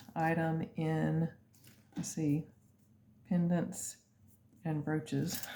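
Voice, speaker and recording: A quiet voice, dark and mellow in tone, at a very slow pace with fairly even intonation. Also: woman. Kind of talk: sales presentation. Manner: casual, hesitant with fillers; lower, quieter voice.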